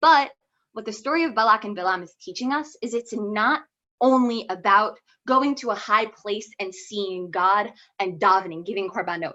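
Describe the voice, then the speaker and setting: A woman speaks with a bright, sharp tone, lively intonation and big swings in loudness. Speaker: student giving a Torah talk. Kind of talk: informal Torah talk. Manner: fast; casual, many fillers.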